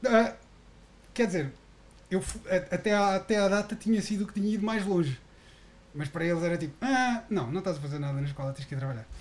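A man talks at a very fast pace with high pitch and lively intonation. Long pauses come often. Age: 30s. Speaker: podcast host. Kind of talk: casual chat.

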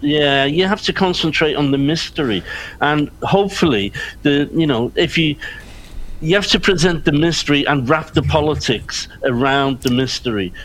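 A man speaks at a moderate pace with a Liverpool accent, his loudness very even throughout. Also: ordinary pitch variation. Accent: Liverpool (Scouse) English. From Liverpool, England, Irish background. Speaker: crime writer. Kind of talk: panel discussion. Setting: video call.

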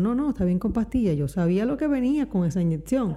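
In a plain, everyday voice, a woman talks with fairly high pitch and lively intonation. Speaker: podcast co-host. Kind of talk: casual chat.

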